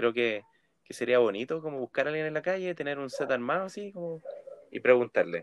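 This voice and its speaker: Fairly quick and lively, a man speaks in a fairly high voice with a Chilean accent. The sound is dry and close with no echo. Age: 20s. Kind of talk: casual chat.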